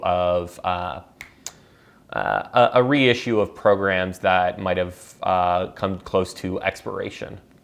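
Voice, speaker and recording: A fairly slow pace and fairly even intonation. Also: man. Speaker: news commentary podcaster. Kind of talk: solo news commentary. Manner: hesitant, many fillers.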